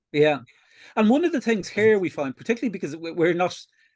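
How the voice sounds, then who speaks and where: Over a quiet background, a man talks with an Irish accent. His pace is very fast and his intonation lively. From Ireland. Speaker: atheist activist. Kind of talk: interview. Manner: halting.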